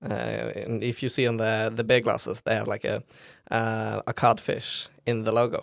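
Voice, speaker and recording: The speaker has a Norwegian accent and talks at a moderate pace. The recording is very clean, with a silent background. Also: man. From Norway, Bergen. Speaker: philosophy student and campus radio member. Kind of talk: casual chat. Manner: hesitant, many fillers.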